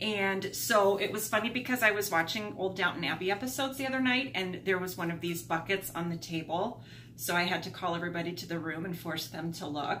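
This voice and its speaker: There is light background noise. The speech has hardly any pauses. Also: woman. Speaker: thrift haul vlogger. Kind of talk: casual vlog chat. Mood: cheerful, upbeat. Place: home room. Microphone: camera far.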